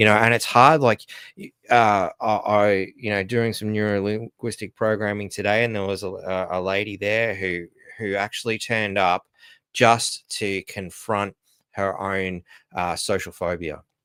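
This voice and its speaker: On a very clean recording with a silent background, a man talks fairly slowly with a fairly low pitch and fairly even intonation, the sound dry and close with no echo. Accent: Australian. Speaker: livestream host. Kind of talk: casual live stream talk. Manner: halting, many fillers and restarts.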